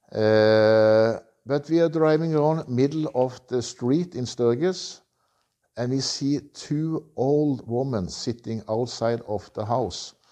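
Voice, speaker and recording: Over a quiet background, a man with a Norwegian accent speaks at a very slow pace. His medium pitch has a dark, mellow tone and ordinary variation. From Norway. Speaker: motorcycle tour operator. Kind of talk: interview. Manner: halting.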